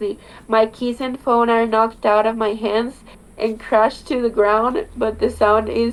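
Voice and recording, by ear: With fairly even intonation, a person reads aloud in a natural voice.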